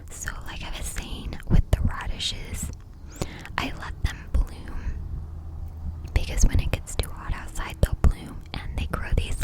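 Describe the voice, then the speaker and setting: Whispered female speech at a fairly slow pace, with noticeable background noise behind it. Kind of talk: ASMR whispered garden tour. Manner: whispered, soft-spoken.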